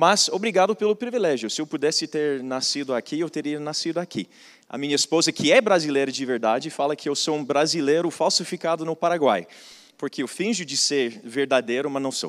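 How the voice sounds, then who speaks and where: A man's fairly high-pitched voice with a non-native accent, fairly quick pace and lively intonation, in a dry, close sound with no echo. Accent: foreign accent in Portuguese. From foreign, not Brazil. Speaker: business and missions speaker. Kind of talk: conference talk. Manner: repetitive false starts.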